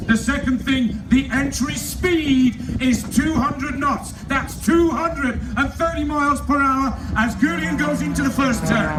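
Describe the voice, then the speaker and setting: With an English accent, a man speaks at an extremely high pitch with ordinary pitch variation, fairly slowly and with hardly any pauses, amid noticeable background noise and audible room echo. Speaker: air show announcer. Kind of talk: live commentary. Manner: animated.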